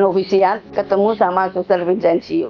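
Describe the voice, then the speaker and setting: Music plays in the background as a woman talks at medium pitch. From Indonesia, Yogyakarta. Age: 70s. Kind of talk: personal testimony. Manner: halting.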